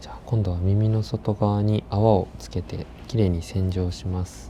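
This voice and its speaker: Soft-spoken and very deep, a man talks at a moderate pace with very wide pitch swings and big swings in loudness. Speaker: professional ear cleaning practitioner. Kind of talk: ASMR ear cleaning service talk, soft-spoken.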